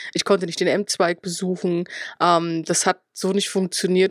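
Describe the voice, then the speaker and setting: A medium-pitched woman at a fairly quick pace, dry and close with no echo, on a very clean recording with a silent background. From Upper Palatinate, Bavaria (Schwandorf). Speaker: games journalist. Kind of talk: casual chat.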